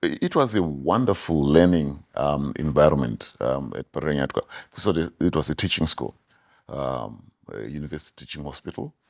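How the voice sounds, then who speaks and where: In a very clean recording with a silent background, a man with a very deep, low voice and vocal fry speaks at a moderate pace, with ordinary pitch variation and big swings in loudness. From Zimbabwe. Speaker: orthodontist. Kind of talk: interview. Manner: halting, many fillers.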